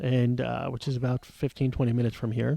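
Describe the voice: With a dark, mellow tone and vocal fry, a man talks at a medium pitch with little pitch movement. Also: fairly quick pace.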